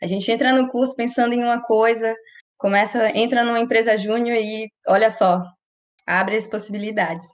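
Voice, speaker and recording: Keeping very even loudness and fairly even intonation, a woman with a plain, everyday voice speaks at a moderate pace and a fairly high pitch. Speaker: student podcast co-host. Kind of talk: casual chat.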